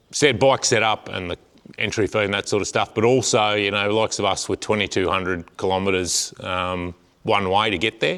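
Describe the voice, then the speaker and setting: A man with an Australian accent speaks at a moderate pace in a bright, sharp tone, his fairly low pitch carried by fairly even intonation on a very clean recording with a silent background. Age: 40s. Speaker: farmer and amateur motorbike racer. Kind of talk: vlog. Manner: hesitant, many fillers.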